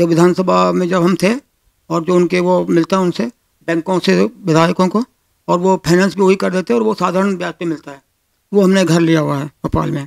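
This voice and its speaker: A man speaks at a high pitch and a moderate pace, with ordinary pitch variation. The sound is dry and close, with no echo. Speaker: politician, election candidate. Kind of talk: interview.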